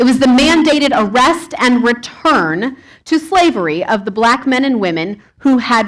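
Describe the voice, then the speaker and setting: At a fairly slow pace, a woman with a high pitch speaks in very wide pitch swings. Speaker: pastor. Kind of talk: sermon.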